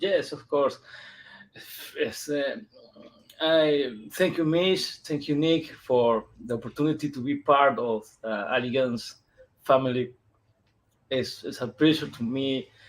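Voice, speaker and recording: A man with a Peruvian accent speaks very slowly at medium pitch, with ordinary pitch variation. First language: Spanish. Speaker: comic book illustrator. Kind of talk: interview. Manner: halting, slow.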